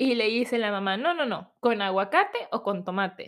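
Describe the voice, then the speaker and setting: A woman with a Mexican accent, an animated tone and lively intonation at a moderate pace. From Mexico. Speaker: podcast host. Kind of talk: casual personal storytelling. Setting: home recording at computer.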